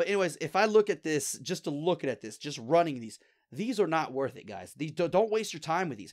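Over a silent background in a very clean recording, a man talks at a fairly quick pace with fairly high pitch, vocal fry, very wide pitch swings and big swings in loudness. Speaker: gaming video creator. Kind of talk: gameplay tutorial commentary. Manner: fast talker; casual and rambling.

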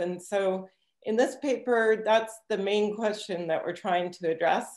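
A woman talks fairly slowly, and room echo can be heard around her voice. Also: quiet background. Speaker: presenter. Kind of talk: lecture. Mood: relaxed, occasionally laughing. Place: home room. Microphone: webcam.

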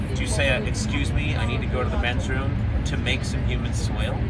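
Over loud background noise, the talking goes at a fairly quick pace. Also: man. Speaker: comedy host. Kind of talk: comedic banter. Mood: teasing, incredulous. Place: train. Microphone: phone near.

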